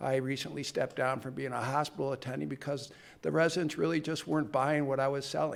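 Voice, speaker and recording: The speech moves at a very fast pace. Vocal fry runs through the voice. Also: man. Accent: American. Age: 60s. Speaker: physician and researcher. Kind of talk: conference talk.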